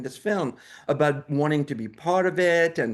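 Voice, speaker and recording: In a French accent, a man with a fairly high pitch speaks at a moderate pace with lively intonation against a quiet background. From France. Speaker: documentary filmmaker. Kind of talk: interview. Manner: halting, many repeated words.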